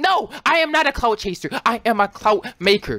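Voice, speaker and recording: The voice is raised and projected, with an animated tone and very wide pitch swings. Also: man, dry, close sound with no echo. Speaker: gaming YouTuber. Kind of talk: angry rant, part sarcastic and part joking, to camera; gaming commentary. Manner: animated, hyped and excitable, voice rising; indignant, mock-outraged and repetitive.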